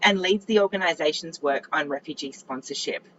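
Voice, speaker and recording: A woman with an Australian accent over noticeable background noise. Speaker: panel moderator. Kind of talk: panel moderation.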